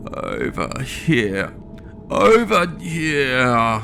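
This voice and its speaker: With clear background noise behind him, a man performs a put-on character voice. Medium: read story.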